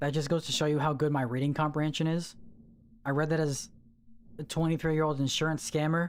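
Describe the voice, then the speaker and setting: Very fast speech broken by long, frequent pauses, on a very clean recording with a silent background. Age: 30s. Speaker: game streamer. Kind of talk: casual live stream chat. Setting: live stream. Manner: animated.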